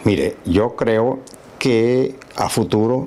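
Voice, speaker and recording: Over noticeable background noise, a man speaks at medium pitch with a Lara Venezuelan accent. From Venezuela, Barquisimeto. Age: 70s. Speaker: physician and musician. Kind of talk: interview. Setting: at home.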